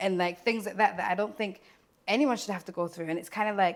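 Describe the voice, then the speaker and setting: The speaker talks at a very fast pace. The voice carries a British accent. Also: woman. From Scotland. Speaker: care worker. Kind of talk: interview.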